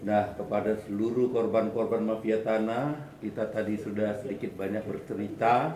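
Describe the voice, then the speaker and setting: Speaking at a moderate pace with hardly any pauses, a man of medium pitch keeps a fairly even intonation amid noticeable background noise and audible room echo. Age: 70s. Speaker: activist and former journalist. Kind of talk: speech at community meeting.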